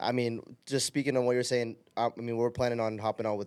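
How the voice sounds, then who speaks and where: A man's medium-pitched voice at a fairly quick pace, in a dry, close sound with no echo and a very clean recording with a silent background. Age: 20s. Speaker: volleyball podcast host. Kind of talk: casual interview chat. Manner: animated.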